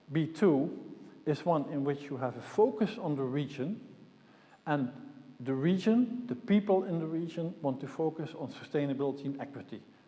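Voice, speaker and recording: Against noticeable background noise and audible room echo, a man talks at a moderate pace. His voice is fairly high, with lively intonation. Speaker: conference speaker, systems modeller. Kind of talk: conference talk.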